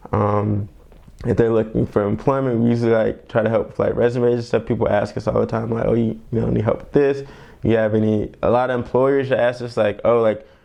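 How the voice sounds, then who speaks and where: Amid noticeable background noise, a man with a medium pitch speaks at a fairly quick pace in a monotone, flat intonation. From Columbia, South Carolina, USA. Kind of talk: oral history interview answer. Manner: casual, conversational, informal.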